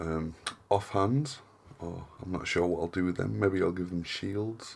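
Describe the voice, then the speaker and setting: Amid noticeable background noise, a man with a northern English accent speaks in a relaxed tone at a very deep, low pitch. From northern England. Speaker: hobby crafting YouTuber. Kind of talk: casual tutorial vlog. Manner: monotone; relaxed, hesitant with fillers.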